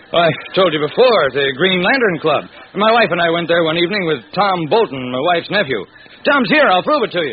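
A man uses a put-on character voice with high pitch, big pitch swings and a slightly husky edge. He talks at a fairly quick pace with few pauses.

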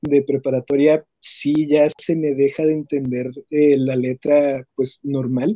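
A man speaks with a dark, mellow tone at a fairly high pitch for a man. His delivery is very slow, and the sound is dry and close with no echo. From Ciudad Juárez, Chihuahua, northern Mexico. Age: 20s. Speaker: blind music student and teacher. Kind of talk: interview. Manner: articulate, well-spoken.

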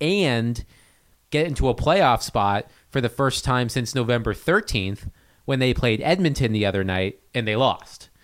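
A man talks at a moderate pace in a normal speaking voice, his pitch medium with ordinary variation. The recording is very clean, with a silent background. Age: 30s. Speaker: hockey beat writer. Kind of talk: casual chat. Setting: studio.

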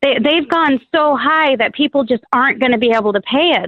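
The speaker is a woman with an unremarkable speaking voice. She moves at a fairly quick pace with lively intonation. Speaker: caller. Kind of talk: call-in talk. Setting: phone call.

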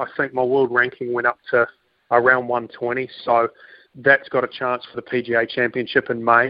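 A man with a New Zealand accent talks in a medium pitch. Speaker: professional golfer. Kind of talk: radio interview.

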